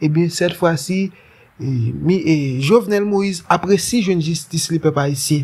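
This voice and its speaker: Speaking fairly slowly, a man keeps a high pitch that varies in an ordinary way. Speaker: online news host. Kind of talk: news commentary.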